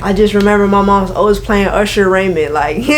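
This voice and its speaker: In an American accent, a woman with a relaxed tone speaks at a moderate pace and medium pitch, with audible room echo and noticeable background noise. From Florida, Orlando/Kissimmee area. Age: 20s. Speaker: singer and rapper. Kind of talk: interview. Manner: casual, relaxed slang-heavy.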